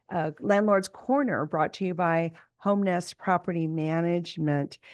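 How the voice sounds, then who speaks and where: Using a plain, everyday voice, a woman speaks at a fairly slow pace and a fairly low pitch with fairly even intonation over a quiet background. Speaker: real estate broker and podcast host. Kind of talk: podcast monologue. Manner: casual with fillers.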